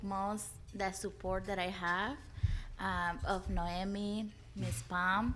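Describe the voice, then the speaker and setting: A woman's medium-pitched voice with fairly even intonation, plus audible room echo. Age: 20s. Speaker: early childhood apprentice. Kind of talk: panel discussion.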